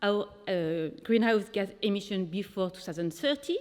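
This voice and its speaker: In a French accent, a woman talks at a moderate pace. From France. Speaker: sustainability lead at a company. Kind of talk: presentation. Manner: hesitant with fillers.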